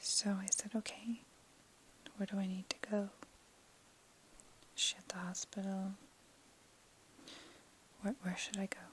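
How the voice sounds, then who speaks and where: A woman speaks with monotone, flat intonation and big swings in loudness. Long, frequent pauses break up her speech. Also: medium pitch for a woman. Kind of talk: ASMR soft-spoken personal story. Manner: soft-spoken, slow.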